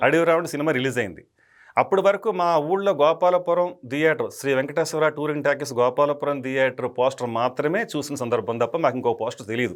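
On a very clean recording with a silent background, a man with a fairly high pitch speaks with ordinary pitch variation. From West Godavari, Andhra Pradesh. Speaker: film director. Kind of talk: interview reminiscence.

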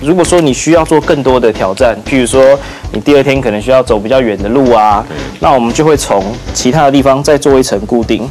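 Faint music plays in the background as a man talks fairly quickly. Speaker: guest. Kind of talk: tutorial demonstration. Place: studio. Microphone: lapel.

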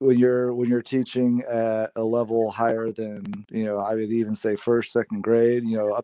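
A man's monotone, flat delivery at a moderate pace, hardly any pauses, dry sound with no echo. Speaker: teacher guest. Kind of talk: interview answer. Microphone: video call.

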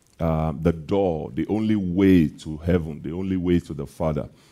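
It's a man with a very deep, low pitch and a dark, mellow tone. He talks at a moderate pace with ordinary pitch variation over a quiet background. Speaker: preacher. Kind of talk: sermon. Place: church. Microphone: headset.

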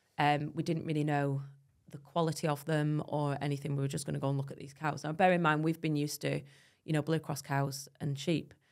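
Over a quiet background, a woman with a very deep, low pitch talks at a fairly quick pace in a monotone, flat intonation. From northern England (Preston, Lancashire); northern England. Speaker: dairy farmer and social media creator; social media creator. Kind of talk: casual chat; interview answer. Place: studio. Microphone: studio mic.

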